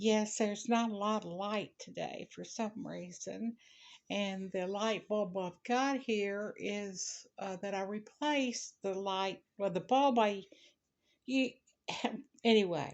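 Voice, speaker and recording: The voice carries a Southern US accent. It moves at a very slow pace with fairly even intonation. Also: woman, medium pitch for a woman. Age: 70s. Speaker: crocheter and storyteller. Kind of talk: casual talk to camera.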